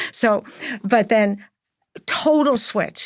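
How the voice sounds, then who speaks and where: A woman with an American accent talks at a fairly high pitch, her pitch varying in an ordinary way. The recording is very clean, with a silent background. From New York. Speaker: interior designer and podcast host. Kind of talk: interview conversation.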